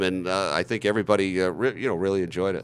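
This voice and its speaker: A man with a fairly low pitch speaks at a very fast pace. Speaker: radio play-by-play announcer for a basketball team. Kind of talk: interview answer. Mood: upbeat, pleased. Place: studio. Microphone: handheld.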